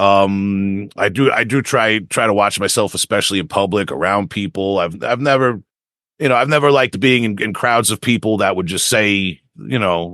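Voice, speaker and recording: In a Long Island accent, a man speaks at a moderate pace with a fairly low, bright and sharp voice, ordinary pitch variation and a quiet background. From Long Island, New York. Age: 40s. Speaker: death metal vocalist and lyricist. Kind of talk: interview. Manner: halting, many repetitions and fillers.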